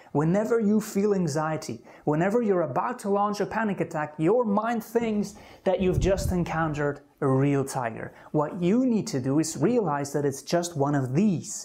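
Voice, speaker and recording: Moderate pacing marks this speech. It carries a non-native accent. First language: not English. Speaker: anxiety self-help coach. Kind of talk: self-help talk to camera.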